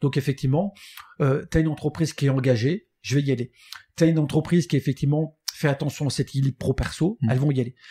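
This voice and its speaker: Over a very clean recording with a silent background, a man talks very fast in a dark, mellow, somewhat breathy voice, pitched fairly high, with a dry, close sound and no echo. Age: 50s. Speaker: recruitment firm founder. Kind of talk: interview.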